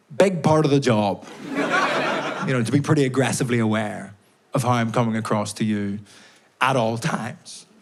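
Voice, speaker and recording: Amid noticeable background noise and audible room echo, a man of medium pitch talks at a fairly quick pace with ordinary pitch variation and long, frequent pauses. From Northern Ireland, Belfast. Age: 20s. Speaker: stand-up comedian. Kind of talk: stand-up. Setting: stage with audience.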